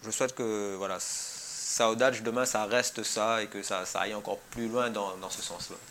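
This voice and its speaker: A man with a medium-pitched voice talks at a moderate pace with fairly even intonation and hardly any pauses. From Réunion, Saint-Pierre. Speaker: musician, percussionist. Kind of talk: interview. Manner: halting, many repetitions.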